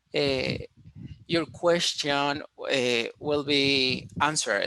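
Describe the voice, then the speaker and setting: At a very slow pace, a man with a fairly high voice speaks in a bright, sharp tone and fairly even intonation. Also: dry, close sound with no echo. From Colombia, Cali. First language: Spanish. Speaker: engineering student presenter. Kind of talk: online conference presentation. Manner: halting, with many fillers.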